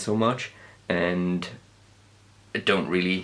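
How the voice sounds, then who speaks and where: A man with a Geordie accent speaks in a very deep, low voice. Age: young. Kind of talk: casual talk to camera. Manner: rambling, hesitant.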